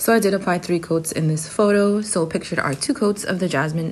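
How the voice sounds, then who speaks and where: There is music in the background. A woman speaks at a fairly quick pace. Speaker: beauty vlogger. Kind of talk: product review.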